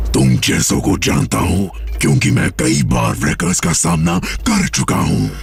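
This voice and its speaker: A cartoonish character voice speaks at a moderate pace. Loud background noise fills the recording. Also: man. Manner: menacing.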